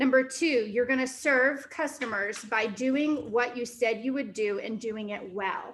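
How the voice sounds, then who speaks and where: The woman's voice is high in pitch. She speaks with hardly any pauses. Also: ordinary pitch variation, fairly slow pace. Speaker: real estate team CEO and workshop trainer. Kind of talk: workshop lecture. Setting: training room with Zoom participants.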